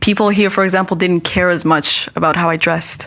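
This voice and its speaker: A woman with a Persian accent speaks at a fairly quick pace and a medium pitch with fairly even intonation over noticeable background noise. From Iran. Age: 20s. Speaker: stand-up comedian. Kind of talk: podcast interview.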